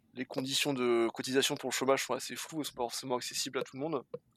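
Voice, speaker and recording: This man talks extremely quickly. His intonation remains fairly flat. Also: dry, close sound with no echo. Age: 20s. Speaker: bicycle courier and dispatcher. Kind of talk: casual interview.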